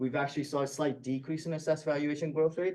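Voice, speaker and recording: A man speaks at a fairly high pitch. His tone is dark and mellow. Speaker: financial advisor. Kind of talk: presentation to school board. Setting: public board meeting. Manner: fast.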